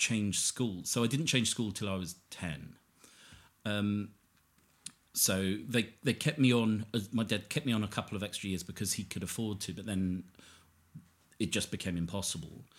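Using a fairly low pitch, a man talks at a moderate pace with long, frequent pauses. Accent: southern English. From Hertfordshire, southern England. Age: 40s. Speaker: recovering addict sharing his story. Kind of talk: casual interview conversation.

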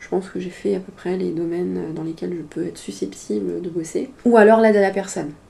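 Woman with an unremarkable speaking voice, medium pitch, ordinary pitch variation and a fairly quick pace. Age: 30s. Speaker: sex worker. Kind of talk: casual interview conversation.

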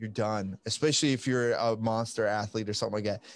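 A man speaks against a quiet background. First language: not English (English is his third language). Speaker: jiu-jitsu podcast host. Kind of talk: casual chat.

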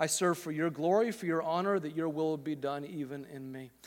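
The recording is spotless, with nothing in the background. A man is the speaker. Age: 40s. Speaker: pastor. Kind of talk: sermon. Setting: church auditorium with live audience.

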